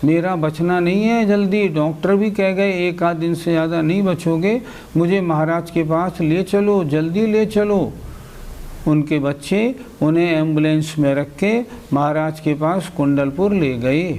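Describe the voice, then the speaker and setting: A high-pitched man's voice with ordinary pitch variation, very even loudness and audible room echo. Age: 60s. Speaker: Jain scripture teacher. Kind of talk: religious lecture. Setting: class with students.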